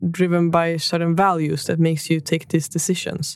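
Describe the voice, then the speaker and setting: Monotone, flat intonation in a Swedish accent. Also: woman. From northern Sweden. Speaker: podcast host. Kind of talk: interview.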